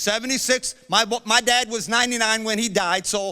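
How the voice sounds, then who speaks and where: Raised and projected, a man's high, bright, sharp voice carries an animated tone at a moderate pace. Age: 70s. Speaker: preacher. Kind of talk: sermon.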